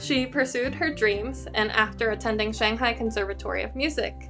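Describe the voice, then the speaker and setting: A woman's voice comes at a moderate pace. Background music accompanies her. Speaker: violinist. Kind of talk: interview host, casual conversation.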